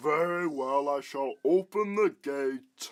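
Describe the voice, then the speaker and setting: Putting on a character voice, a man cackles at a fairly slow pace, fairly high in pitch with ordinary pitch variation. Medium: audio drama. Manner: boastful, cackling.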